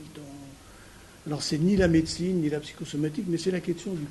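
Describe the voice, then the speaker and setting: A man with a fairly high pitch talks at a moderate pace with ordinary pitch variation. Audible room echo is present. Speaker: psychoanalyst and physician giving a lecture. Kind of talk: lecture. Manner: halting, many hesitations; trying to speak loudly. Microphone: no microphone.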